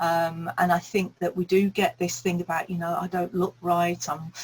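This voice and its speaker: Somewhat breathy and fairly low for a woman, her voice moves at a moderate pace in a monotone, flat intonation. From England, Birmingham. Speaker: speaking coach. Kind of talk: interview chat.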